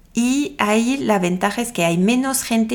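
At a moderate pace, a woman speaks with a French accent and ordinary pitch variation. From France. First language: French (speaking Spanish). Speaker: podcast host, tourism promoter. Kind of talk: casual monologue with travel advice.

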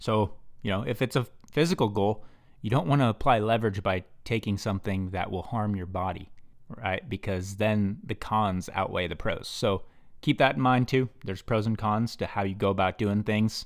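A man with a plain, everyday voice and fairly low pitch talks at a moderate pace with ordinary pitch variation, in a very clean recording with a silent background. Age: 20s. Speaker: business podcast host. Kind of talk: solo podcast monologue.

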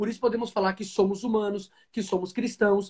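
A man speaks very fast in a high pitch with a dark, mellow tone. His intonation is fairly even. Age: 20s. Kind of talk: interview on a live stream.

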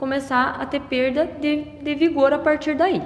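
Room echo and background noise are both audible as the woman speaks. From western Paraná, Brazil (Medianeira region). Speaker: agronomist. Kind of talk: interview.

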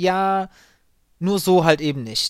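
The man's pitch is high and varies in an ordinary way. His pace is very slow. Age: 30s. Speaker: call center agent and podcaster. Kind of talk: solo podcast monologue. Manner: hesitant, many fillers.

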